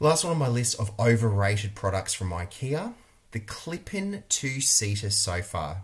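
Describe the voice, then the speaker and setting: With an Australian accent, a man speaks in a somewhat breathy, fairly low voice that makes very wide pitch swings. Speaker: interior designer and video creator. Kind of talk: vlog monologue review. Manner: animated. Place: home room. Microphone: webcam.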